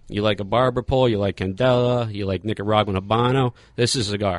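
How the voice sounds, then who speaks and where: Someone speaks at a very fast pace with an American accent. The intonation is fairly even and the background quiet. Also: man. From Philadelphia. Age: 30s. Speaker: cigar company sales manager. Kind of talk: casual interview. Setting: studio.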